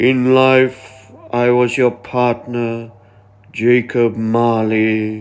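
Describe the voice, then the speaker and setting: This man uses a put-on character voice at a medium pitch. He talks very slowly in a flat monotone. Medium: read story.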